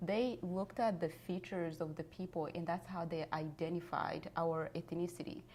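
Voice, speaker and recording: With a Rwandan accent, a woman speaks at a fairly low pitch and a moderate pace. Her intonation is fairly even. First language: Kinyarwanda. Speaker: genocide survivor and author. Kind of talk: interview testimony. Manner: halting.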